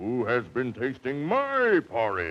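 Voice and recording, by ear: The speaker is a man doing a put-on character voice. It sits at medium pitch and unfolds at a fairly slow pace.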